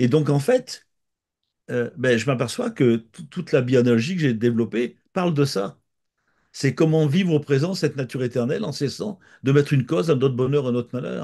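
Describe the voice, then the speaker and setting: In a quiet background, a man of medium pitch speaks at a moderate pace in a dark, mellow tone with ordinary pitch variation. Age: 70s. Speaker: author and therapist. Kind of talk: interview. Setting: countryside. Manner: halting, many repetitions.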